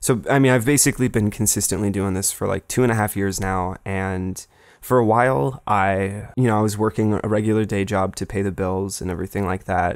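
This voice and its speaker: A plain, everyday voice from a man, fairly low in pitch and fairly quick, with fairly even intonation and hardly any pauses, in a very clean recording with a silent background. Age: 20s. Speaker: film video essayist, channel owner. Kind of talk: unscripted casual update monologue. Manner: casual with many fillers and repetitions.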